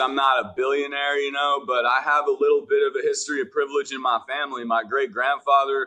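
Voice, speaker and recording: An American accent at a fairly quick pace, with ordinary pitch variation. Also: man. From Washington, D.C. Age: 30s. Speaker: recovery rapper. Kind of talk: podcast interview, personal recovery story.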